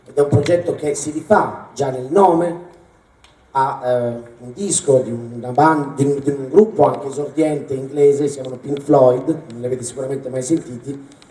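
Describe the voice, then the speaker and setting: With noticeable background noise behind him, a man with a fairly high pitch speaks at a moderate pace, his pitch varying ordinarily and his loudness swinging widely. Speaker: concert presenter. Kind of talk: stage introduction. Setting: stage with audience. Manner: halting.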